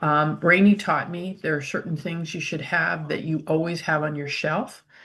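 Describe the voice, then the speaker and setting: A woman speaks with a very deep, low pitch and vocal fry, her intonation fairly even against a quiet background. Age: old. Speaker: essential oil user. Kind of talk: casual chat.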